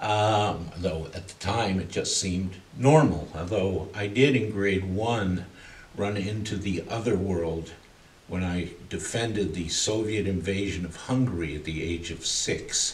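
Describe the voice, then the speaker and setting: The speaker is a man with ordinary pitch variation. Audible room echo surrounds his voice. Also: fairly low pitch for a man. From Canada, Toronto. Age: 60s. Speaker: arts curator and artist manager. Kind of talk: interview monologue, life story.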